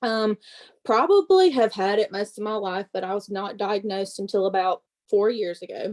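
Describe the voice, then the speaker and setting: A woman with a strong Southern accent, medium pitch, fairly even intonation and a moderate pace, in a dry, close sound with no echo. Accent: thick Southern. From US South, Mississippi. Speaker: network marketing presenter. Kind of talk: testimony.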